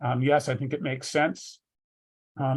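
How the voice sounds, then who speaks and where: Somewhat breathy and fairly high-pitched, a man talks at a fairly quick pace with fairly even intonation. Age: 60s. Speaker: business sale advisor. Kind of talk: interview. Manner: halting, many fillers.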